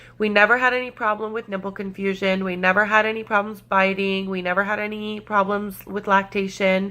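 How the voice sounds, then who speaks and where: Fairly quick woman's voice in a bright, sharp tone, monotone and flat, with hardly any pauses. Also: medium pitch for a woman. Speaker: parenting vlogger. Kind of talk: casual vlog talk. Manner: speaking louder than usual.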